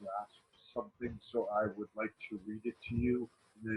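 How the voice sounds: Natural-sounding reading of a text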